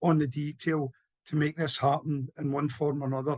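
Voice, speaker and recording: Somewhat breathy and recorded with a dry, close sound and no echo, a man at a fairly high pitch talks at a moderate pace with fairly even intonation. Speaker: campaigner. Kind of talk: panel talk.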